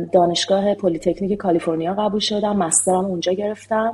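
A woman speaks at a fairly quick pace with medium pitch and fairly even intonation. Her tone is dark and mellow, somewhat breathy. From Iran. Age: 40s. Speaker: software engineer. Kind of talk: interview.

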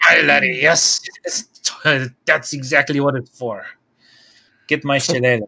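A man's raspy, put-on character voice in an Irish accent, medium pitch, moderate pace and long, frequent pauses.

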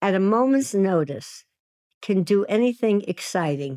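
In a Brooklyn accent, a woman speaks at a fairly slow pace with lively intonation, the sound dry and close with no echo in a very clean recording with a silent background. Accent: New York (Brooklyn). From US Northeast, Williamsburg, Brooklyn, New York. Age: 80s+. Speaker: sex and dating coach. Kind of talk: casual chat.

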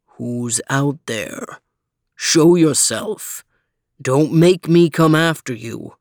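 Growling in a put-on character voice, a woman speaks with very deep, low pitch at a very slow pace, with long, frequent pauses. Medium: read story. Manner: menacing, commanding.

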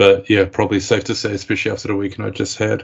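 This man speaks very fast in a fairly low pitch. His voice is somewhat breathy. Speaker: podcast host. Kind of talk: casual banter. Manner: monotone; swears a lot, rambling.

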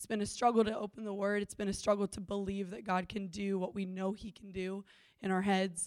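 An unremarkable speaking voice from a woman at medium pitch, with fairly even intonation, big swings in loudness and a fairly quick pace. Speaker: church member sharing testimony. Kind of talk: testimony. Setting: church with congregation.

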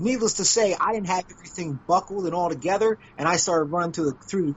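At a very fast pace, a man speaks in a high pitch. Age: 40s. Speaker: podcast host and former wrestler. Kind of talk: casual interview chat. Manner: halting, repetitive phrasing.

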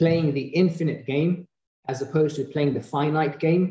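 A man with a fairly high pitch speaks with a British accent. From UK. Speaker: eye surgeon, reality show contestant. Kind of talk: interview.

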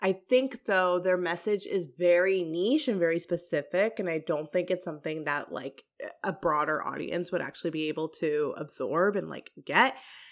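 In an unremarkable speaking voice, a woman talks at a moderate pace with a fairly low pitch and ordinary pitch variation. She has hardly any pauses, and the recording is very clean with a silent background. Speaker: podcast co-host. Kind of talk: casual chat.

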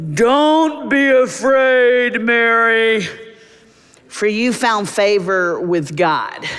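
A man's put-on character voice, resonant and extremely high in pitch, at a very slow pace with audible echo

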